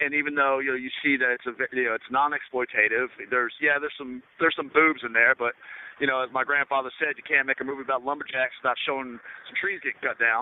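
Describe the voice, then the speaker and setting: A man speaks very fast at a medium pitch, his intonation flat and monotone. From US South. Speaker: film director. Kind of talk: interview. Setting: radio show. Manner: halting, many fillers.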